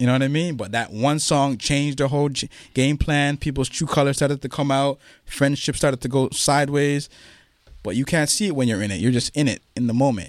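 In a very clean recording with a silent background, a man with a Toronto accent speaks at a fairly quick pace, his fairly high pitch showing ordinary variation. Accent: Toronto Canadian English. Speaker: hip-hop event founder and author. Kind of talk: interview.

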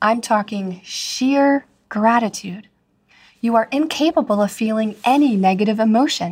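Somewhat breathy, a woman speaks at a moderate pace with ordinary pitch variation. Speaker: podcast host, marriage coach. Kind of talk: motivational monologue. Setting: solo podcast recording.

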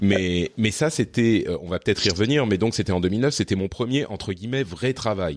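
The delivery has lively intonation and a moderate pace, with hardly any pauses. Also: man, fairly low pitch for a man. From Lebanon and France (moved around). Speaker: podcaster. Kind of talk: interview conversation. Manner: hesitant with fillers.

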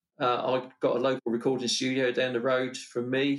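This man talks at a moderate pace with a monotone, flat intonation. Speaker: motorsport commentator. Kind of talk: casual interview chat.

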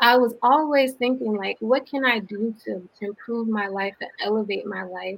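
A woman with an American accent talks fairly slowly in a fairly high pitch and fairly even intonation, an ordinary speaking voice. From US South, Atlanta, Georgia. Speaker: social entrepreneur. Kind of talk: interview.

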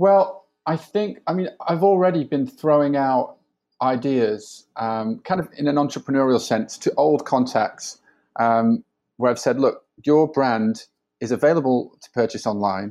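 With a Yorkshire accent, a man uses a dark, mellow tone at a fairly high pitch, speaking at a fairly slow pace with lively intonation. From northern England, Sheffield. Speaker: digital strategy consultant. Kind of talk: podcast interview. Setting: remote call from home.

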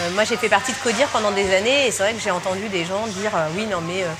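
There is noticeable background noise behind this woman. She speaks at a medium pitch with ordinary pitch variation. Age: 30s. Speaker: startup founder. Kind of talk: interview.

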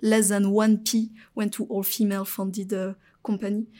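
A woman with a French accent speaks at a fairly slow pace in a monotone, flat intonation, her dark, mellow tone at medium pitch, on a very clean recording with a silent background. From France. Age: 20s. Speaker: venture capitalist. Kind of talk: interview. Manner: halting, many fillers.

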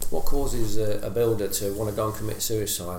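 There is noticeable background noise as a man speaks with an East of England accent. His pitch is fairly low, with ordinary pitch variation. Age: 40s. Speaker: menswear influencer, former builder. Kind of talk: interview. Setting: at his home.

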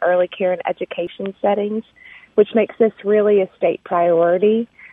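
Monotone, flat intonation in a Southern US accent at a moderate pace. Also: woman. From Arkansas. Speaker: foundation program officer. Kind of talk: interview. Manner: hesitant with frequent um.

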